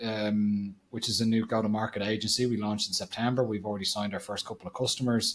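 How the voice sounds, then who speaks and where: With an Irish accent, a man is talking. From Ireland. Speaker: marketing agency founder. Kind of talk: podcast interview.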